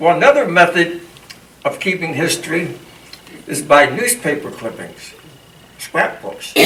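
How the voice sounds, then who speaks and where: A high-pitched man with a Pennsylvania accent makes very wide pitch swings, heard with audible room echo and noticeable background noise. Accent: Pennsylvania American English. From Harrisburg, Pennsylvania. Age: 80s+. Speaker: local historian. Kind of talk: lecture.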